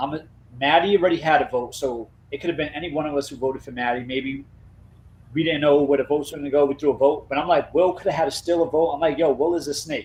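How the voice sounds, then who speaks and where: At a very fast pace, a man speaks with a fairly high pitch. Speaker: reality game contestant. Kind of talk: casual chat. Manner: loud.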